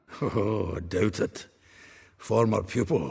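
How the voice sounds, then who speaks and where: Putting on a character voice, a man speaks raspy and fairly low at a fairly slow pace. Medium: video game. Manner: chatty, laughing.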